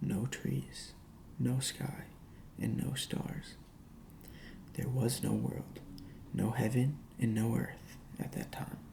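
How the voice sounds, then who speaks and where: A man whispers, soft-spoken and very slow. Noticeable background noise is present. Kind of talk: ASMR mythology reading. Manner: whispered, soft-spoken.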